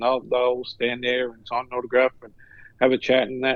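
At a fairly quick pace, a man with a medium-pitched voice speaks in an Australian accent. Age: 60s. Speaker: retired sports professional, co-host. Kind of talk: casual chat.

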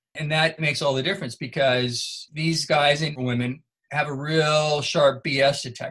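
Speaking with an American accent, a man with a fairly high pitch keeps his intonation fairly even. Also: moderate pace. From Northern California. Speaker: military historian. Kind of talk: interview.

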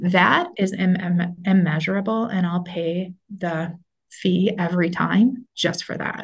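A woman talks at a fairly slow pace with a fairly low pitch. Her intonation stays fairly even and her voice is somewhat breathy. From Minnesota. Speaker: school superintendent. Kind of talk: interview.

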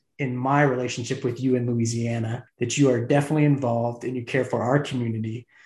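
A man's voice comes across as somewhat breathy. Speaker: podcast host. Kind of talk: interview.

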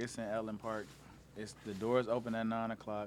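A man with a fairly low-pitched voice speaks at a moderate pace. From Detroit, Michigan. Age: 20s. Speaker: rapper. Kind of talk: casual interview.

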